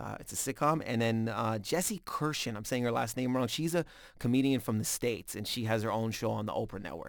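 A man with a normal speaking voice talks at medium pitch and a fairly quick pace. Ordinary pitch variation comes through in a very clean recording with a silent background. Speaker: stand-up comedian. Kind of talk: casual chat.

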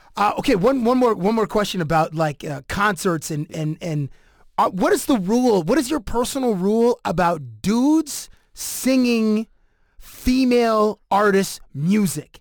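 Speaking at a fairly slow pace, a man with a high voice uses lively intonation in a very clean recording with a silent background. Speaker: podcast host. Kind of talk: casual chat. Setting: studio.

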